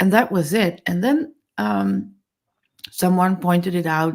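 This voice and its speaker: A woman with a Dutch accent. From Netherlands. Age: 50s. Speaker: accessibility advocate. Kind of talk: webinar interview.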